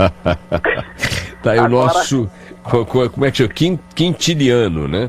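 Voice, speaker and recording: Over music in the background, a man at medium pitch speaks at a very slow pace with very wide pitch swings. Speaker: radio host. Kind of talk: radio interview question.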